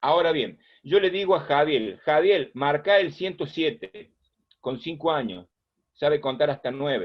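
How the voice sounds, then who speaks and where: This man has a normal speaking voice, pitched fairly high. He talks at a fairly slow pace with lively intonation. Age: 60s. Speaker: first aid instructor. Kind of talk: lecture.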